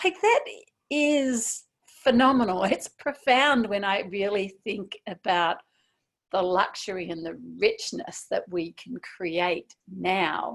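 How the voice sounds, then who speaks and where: Speaking at a very slow pace, a woman uses lively intonation. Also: medium pitch for a woman. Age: 60s. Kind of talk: interview answer. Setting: video call.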